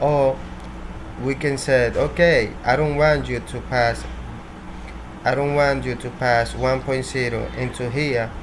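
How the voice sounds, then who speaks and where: Against noticeable background noise and audible room echo, a man with a Spanish accent speaks at a fairly slow pace with long, frequent pauses. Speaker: programming tutorial creator. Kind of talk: tutorial. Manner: halting, with repetitions.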